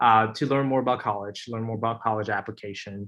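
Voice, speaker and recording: Here a man talks with a Chinese accent. His pace is fairly quick. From US, came from China aged 7. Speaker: student panelist. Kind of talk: webinar panel talk. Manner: hesitant, many fillers.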